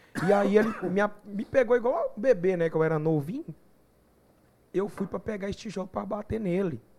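Using a dark, mellow tone, a man with a high voice speaks at a fairly quick pace broken by long, frequent pauses. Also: ordinary pitch variation. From Goiás, Brazil (São Miguel do Araguaia). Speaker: gospel singer. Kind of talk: casual chat.

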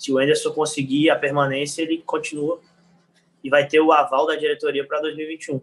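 The intonation is fairly even. It is a normal speaking voice at a fairly quick pace. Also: man, fairly high pitch for a man. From Rio de Janeiro, Brazil. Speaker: football fan social media creator. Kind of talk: casual chat.

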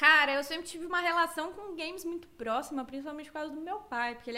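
A woman speaks at a very fast pace in a high pitch. Her raised, projected voice has a bright, sharp tone. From Cuiabá, Mato Grosso, Brazil. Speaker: streamer. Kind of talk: casual interview.

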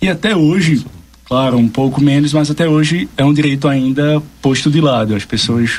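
Very even loudness from a man, fairly high pitch, ordinary pitch variation, moderate pace. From Brazil, Pernambuco. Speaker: labor law advisor. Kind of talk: radio interview, explanatory.

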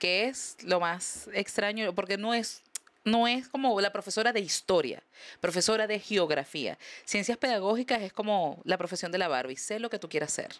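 This woman has a normal speaking voice at a medium pitch. Her intonation is lively and her pace is moderate. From Venezuela. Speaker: comedian. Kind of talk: casual chat.

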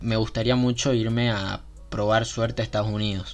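A man speaks at a moderate pace and medium pitch. His intonation stays monotone and flat. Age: 20s. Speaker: podcast host. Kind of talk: casual monologue.

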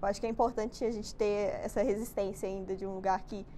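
Fairly even in intonation, a woman talks in an unremarkable speaking voice at medium pitch. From Brazil, Minas Gerais (Betim). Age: 20s. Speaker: university student, podcast co-host. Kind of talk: casual chat.

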